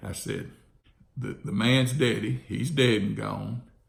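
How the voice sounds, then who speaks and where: A man talks at a moderate pace with an Alabama accent. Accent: Southern US (Alabama). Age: 60s. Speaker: real estate investor. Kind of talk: casual monologue.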